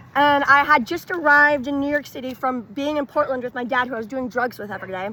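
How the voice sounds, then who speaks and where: With a bright, sharp tone and a raised, projected voice, a woman with an American accent speaks in a high pitch with ordinary pitch variation. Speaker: wellness vlogger. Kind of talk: casual personal testimony to camera. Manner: chatty, filler-heavy casual speech.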